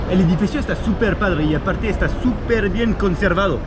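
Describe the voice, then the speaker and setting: Music plays behind a man who speaks at a fairly quick pace with lively intonation and audible room echo. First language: French (speaking Spanish). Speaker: travel vlogger. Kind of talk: travel vlog narration. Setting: outdoors walking through city. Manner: casual, hesitant with repetitions.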